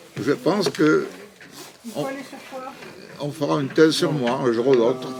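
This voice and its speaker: Over noticeable background noise, a man speaks fairly slowly in a fairly high pitch. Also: ordinary pitch variation. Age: 80s+. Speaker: interviewee, promoter of the French language abroad. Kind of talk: casual interview. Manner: halting.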